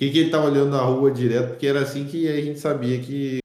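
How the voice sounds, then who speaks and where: A man talks with ordinary pitch variation. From Rio de Janeiro state, Brazil. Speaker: podcast host. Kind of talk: casual chat. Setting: remote call.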